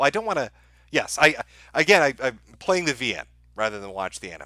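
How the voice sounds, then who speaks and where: A man talks at a very fast pace in a bright, sharp tone, his pitch swinging very widely and his loudness jumping up and down a lot. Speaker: live streamer. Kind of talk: live stream super chat reading. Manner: halting, repeats words.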